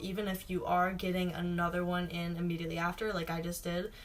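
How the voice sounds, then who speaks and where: Noticeable background noise sits behind a woman's voice. She talks at a moderate pace and a medium pitch. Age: 20s. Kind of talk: casual talk to camera.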